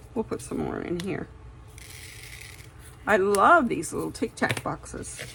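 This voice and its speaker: A woman's fairly slow speech, broken by long, frequent pauses, carries over noticeable background noise. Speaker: diamond painting hobbyist vlogger. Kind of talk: casual chat while crafting. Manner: relaxed, rambling with fillers.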